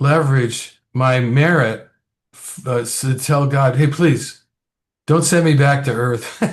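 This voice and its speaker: A man's somewhat breathy voice at a very slow pace, with fairly even intonation. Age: 70s. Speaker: podcast host. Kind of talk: interview. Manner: casual.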